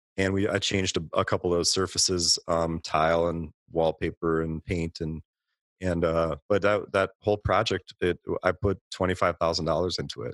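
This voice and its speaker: Recorded very cleanly with a silent background and a dry, close sound free of echo, a man with an American accent speaks at a moderate pace in a very deep, low pitch with fairly even intonation. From Minnesota, Twin Cities. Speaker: restaurant owner. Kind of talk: interview.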